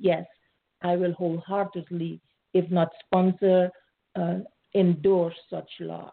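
The speech moves at a very slow pace in a monotone, flat intonation, broken by long, frequent pauses. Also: woman, fairly low pitch for a woman. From Suriname. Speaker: congressional candidate. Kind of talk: interview.

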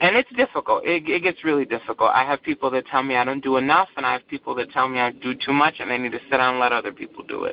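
A woman talks with an American accent. Her pace is very fast, with hardly any pauses. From Michigan, Saginaw (Buena Vista). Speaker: LGBTQ nonprofit director and activist. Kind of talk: interview. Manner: halting, with frequent repeats.

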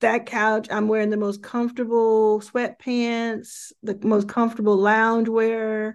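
A woman's fairly high, monotone voice with flat intonation, in an American accent, at a fairly slow pace against a quiet background. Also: hardly any pauses. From Dallas, Texas. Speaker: venture investor and founder. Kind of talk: interview.

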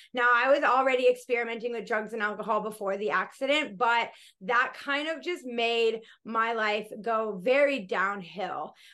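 Against a quiet background, a voice with an American accent and a bright, sharp tone moves at a moderate pace. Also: woman, fairly high pitch for a woman, ordinary pitch variation. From US (Colorado, then Florida). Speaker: yoga teacher and empowerment coach. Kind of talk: interview.

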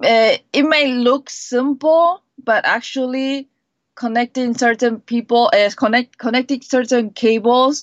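The speech comes at a fairly slow pace with ordinary pitch variation, and the sound is dry and close with no echo. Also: woman. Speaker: tech company product manager. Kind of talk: interview. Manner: halting, frequent self-corrections.

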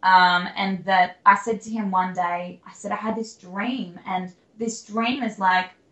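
With an Australian accent, a woman speaks with fairly even intonation. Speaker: country singer-songwriter. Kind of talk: interview. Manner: halting.

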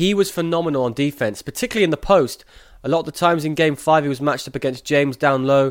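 A man with an English accent and a fairly high pitch at a very fast pace, on a very clean recording with a silent background. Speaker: sports podcast host. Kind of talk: interview.

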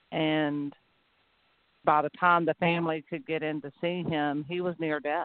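In a Southern US accent, a woman speaks at a very deep, low pitch. Her intonation is monotone and flat, her pace fairly slow. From Georgia, US South. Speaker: nurse and patient advocate. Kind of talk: casual interview.

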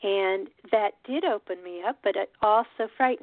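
The speaker is a woman with an ordinary speaking voice and a fairly high pitch. She goes at a fairly slow pace with ordinary pitch variation. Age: 50s. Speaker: radio host. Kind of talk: solo monologue.

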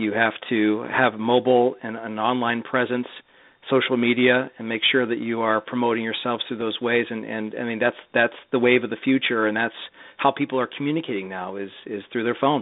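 The man's voice sits at a medium pitch, and his intonation is monotone and flat. He keeps a moderate pace. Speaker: sales executive. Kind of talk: interview. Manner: filler-heavy.

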